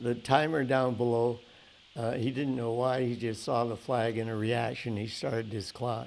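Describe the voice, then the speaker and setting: Intonation here is monotone and flat. The delivery runs fairly slowly. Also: man. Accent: western Canadian. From Canada, Calgary. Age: 80s+. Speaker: oral history interviewee. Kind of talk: storytelling in an interview. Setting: museum event with audience. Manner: halting, many fillers and restarts.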